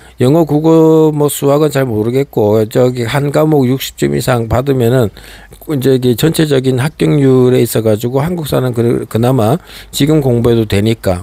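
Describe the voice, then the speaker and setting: A man's ordinary speaking voice at medium pitch, moderate pace, ordinary pitch variation and very even loudness. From Gangwon Province, South Korea. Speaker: political commentator, YouTuber. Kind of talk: political monologue. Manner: rhetorical, many fillers.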